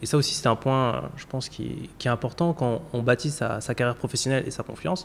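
A man talks very fast at a medium pitch, his intonation showing ordinary pitch variation. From France, Paris. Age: 30s. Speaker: insurance executive. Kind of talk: interview.

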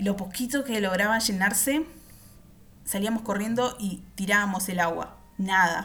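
A woman with a Uruguayan accent speaks at a fairly slow pace. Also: medium pitch for a woman, ordinary pitch variation. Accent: Uruguayan Spanish (rioplatense). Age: 30s. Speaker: podcast host. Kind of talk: personal storytelling.

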